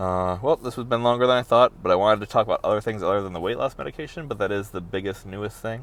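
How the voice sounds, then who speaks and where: Mumbling at a very fast pace, a man speaks in a fairly low pitch with lively intonation. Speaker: vlogger. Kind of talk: personal video diary. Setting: in a car.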